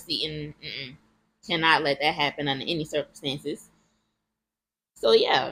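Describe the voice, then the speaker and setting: This woman has a bright, sharp tone and a fairly low pitch. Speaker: vlogger. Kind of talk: personal testimony vlog. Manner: emotional; loud at times.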